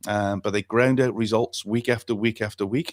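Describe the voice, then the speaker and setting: A man's medium-pitched voice in a Welsh accent, fairly quick and fairly even in intonation, dry and close with no echo on a very clean recording with a silent background. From Wales. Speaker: football talk show host and youth coach. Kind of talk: talkback radio discussion. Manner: halting, many fillers and repetitions.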